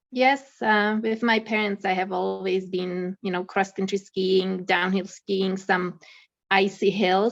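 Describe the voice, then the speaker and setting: A woman with a Czech accent speaks at a fairly slow pace, her pitch sitting in the middle of her range. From Czech Republic. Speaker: accountant and mountaineer. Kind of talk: casual interview.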